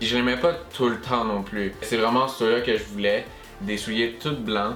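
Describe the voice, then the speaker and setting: A man at medium pitch with a Quebec accent, speaking fairly slowly over music in the background. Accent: Quebecois French. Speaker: YouTuber. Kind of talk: casual talk to camera.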